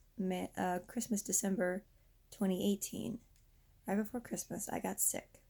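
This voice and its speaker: A woman's medium-pitched voice with vocal fry. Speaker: vlogger. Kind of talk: personal vent vlog. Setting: lying down, talking to camera. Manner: halting.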